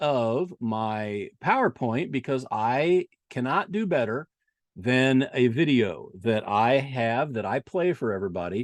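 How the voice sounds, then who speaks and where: A man's medium-pitched voice with an Indiana accent and lively intonation, dry and close with no echo, against a quiet background. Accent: Indiana (Midwestern). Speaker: eclipse chaser and website owner. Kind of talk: presentation. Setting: video call. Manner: halting.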